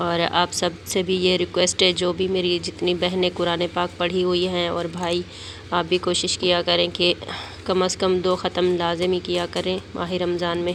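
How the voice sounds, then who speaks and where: Speaking fairly slowly, a woman keeps her intonation monotone and flat. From Pakistan. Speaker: vlogger. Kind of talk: casual vlog narration. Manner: hesitant with many fillers.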